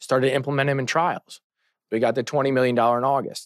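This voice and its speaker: An unremarkable speaking voice from a man, medium in pitch and moderate in pace, with dry, close sound, no echo and a quiet background. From St. Louis, Missouri. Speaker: trial lawyer. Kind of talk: casual interview.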